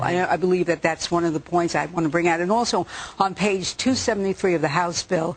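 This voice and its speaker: With an American accent, a woman talks at a fairly quick pace with a fairly low pitch and ordinary pitch variation. Noticeable background noise runs underneath. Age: 60s. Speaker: cancer patient. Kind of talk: TV news interview. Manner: animated.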